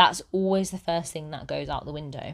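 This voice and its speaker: A woman with a British accent and a fairly low pitch. The recording is very clean with a silent background, and her pitch varies in an ordinary way. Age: 30s. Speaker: style consultant podcaster. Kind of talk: solo podcast monologue. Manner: conversational, occasional laughs.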